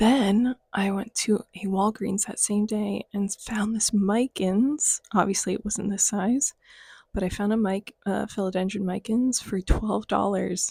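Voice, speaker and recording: A woman's raspy, whispered put-on character voice at a fairly slow pace, dry and close with no echo. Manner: whispering.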